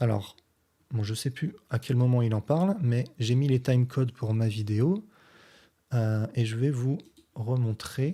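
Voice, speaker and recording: A man speaks very slowly at a medium pitch, his tone dark, mellow and somewhat breathy. Long, frequent pauses and ordinary pitch variation sit in a very clean recording with a silent background. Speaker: physics teacher and science youtuber. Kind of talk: response video commentary explaining physics. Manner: deliberately slow; hesitant, many filler sounds.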